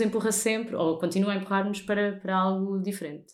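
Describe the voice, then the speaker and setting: Very clean and set against a silent background, the recording has a woman talking at a very fast pace. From Portugal, countryside near Lisbon. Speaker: radio host. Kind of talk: casual chat. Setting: host's living room.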